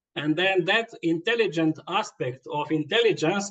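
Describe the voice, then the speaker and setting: Pitched high, a man speaks at a fairly slow pace. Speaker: yoga teacher. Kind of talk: lecture. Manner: halting.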